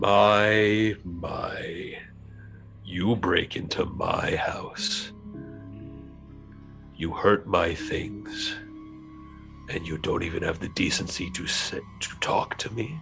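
Booming and very slow, a man performs a put-on character voice over clear music in the background. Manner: accusing, indignant.

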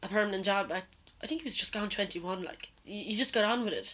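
In an Irish accent, a woman talks at a medium pitch with ordinary pitch variation. Noticeable background noise runs underneath. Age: 20s. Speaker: podcast co-host. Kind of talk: casual chat. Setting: garden shed makeshift studio.

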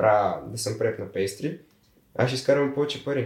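Here a man speaks in a somewhat breathy voice. His pace is moderate and his intonation fairly even. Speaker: seasonal worker. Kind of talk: casual chat.

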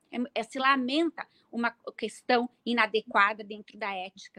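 A raised, projected woman's voice with a dry, close sound and no echo. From Brazil, Serra Gaúcha (Rio Grande do Sul). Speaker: pharmacist and bioethics researcher. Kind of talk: interview. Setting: live online event.

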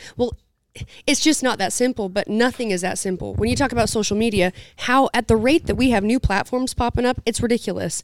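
A woman speaks with an American accent at a fairly quick pace, her pitch fairly high with ordinary variation and some vocal fry. The sound is dry and close with no echo, on a very clean recording with a silent background. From southern Utah. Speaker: podcast co-host, rancher. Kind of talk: casual chat. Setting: event venue.

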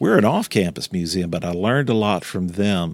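A man with a Louisiana accent and a very deep, low pitch, ordinary pitch variation, in a very clean recording with a silent background. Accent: Louisiana Southern US. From Louisiana, Baton Rouge. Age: 60s. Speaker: museum director. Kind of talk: interview. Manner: halting.

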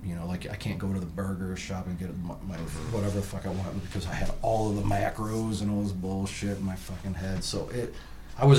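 A man talks fairly quickly, and the room's echo can be heard around him. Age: 40s. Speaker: tattoo artist turned cannabis entrepreneur. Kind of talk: casual chat.

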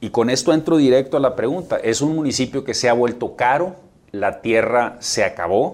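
This man has a normal speaking voice, medium in pitch, with ordinary pitch variation and a moderate pace. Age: 40s. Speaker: mayor running for re-election. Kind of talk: interview.

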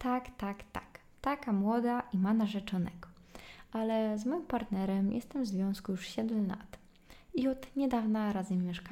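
Here a woman speaks at a fairly slow pace. Her pitch is fairly high, with ordinary pitch variation. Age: 20s. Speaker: podcaster. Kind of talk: solo casual monologue. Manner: chatty.

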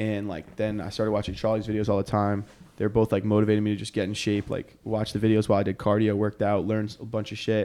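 A man's very fast delivery, fairly low in pitch with a dark, mellow tone. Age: 20s. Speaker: content creator. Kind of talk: casual chat. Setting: studio. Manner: animated.

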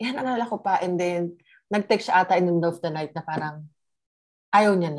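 A woman with a plain, everyday voice speaks at a fairly quick pace and a fairly low pitch, with ordinary pitch variation and big swings in loudness. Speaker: guest sharing relationship story. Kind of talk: casual chat, personal story.

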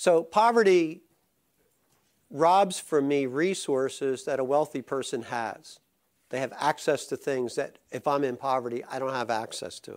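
With an ordinary speaking voice, a man at a fairly high pitch speaks fairly slowly, his intonation lively and his loudness swinging widely. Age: 60s. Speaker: pastor. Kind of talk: sermon. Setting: church.

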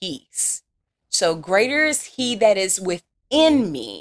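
Animated woman with a Southern accent, in a dry, close sound with no echo. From Louisiana. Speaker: faith podcast host. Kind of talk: inspirational talk.

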